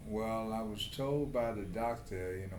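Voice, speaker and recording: A fairly low-pitched man at a very slow pace, with ordinary pitch variation and audible room echo. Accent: New York. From New York City. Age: 70s. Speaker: prostate cancer patient. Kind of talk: patient interview. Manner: halting.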